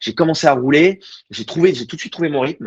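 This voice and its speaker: The sound is dry and close with no echo as a man speaks at a very fast pace. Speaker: amateur racing driver. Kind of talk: interview. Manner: casual, hesitant with repetitions.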